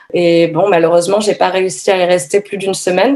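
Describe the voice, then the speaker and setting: Against noticeable background noise, a woman talks fairly quickly at a medium pitch. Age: 30s. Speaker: yoga teacher and feminist activist. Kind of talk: testimony. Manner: halting.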